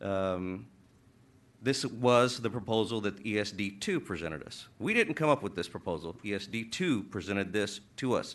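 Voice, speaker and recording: Fairly low male voice with ordinary pitch variation over a quiet background. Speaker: city council member. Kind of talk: public meeting statement. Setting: city council chamber. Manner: halting, many fillers.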